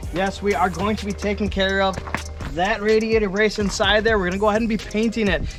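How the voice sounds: Clear music plays in the background. Over it, a man talks fast at a high pitch with fairly even intonation.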